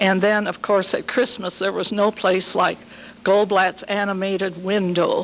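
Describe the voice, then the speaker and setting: Over noticeable background noise, a woman speaks at a fairly slow pace with flat, monotone intonation. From US Midwest, Hammond, Indiana. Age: 70s. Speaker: local resident sharing memories. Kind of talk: oral history testimony at community meeting.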